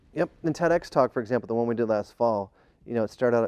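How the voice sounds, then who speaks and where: A man talks very fast in a dark, mellow tone, with a dry, close sound with no echo and a quiet background. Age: 50s. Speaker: keynote speaker and business coach. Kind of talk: interview. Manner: energetic.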